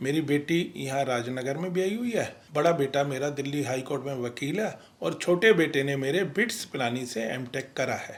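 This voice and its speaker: A man talks with lively intonation in an unremarkable speaking voice. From Ghaziabad, India, Punjabi family. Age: 60s. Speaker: retired businessman, community leader. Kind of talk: interview.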